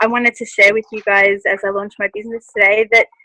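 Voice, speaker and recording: A woman with an Australian accent speaks at a fairly quick pace in a fairly high pitch and a bright, sharp tone, with a dry, close sound and no echo. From Australia (Melbourne). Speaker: speaker at a lifestyle event. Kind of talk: personal testimony talk. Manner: halting, many fillers.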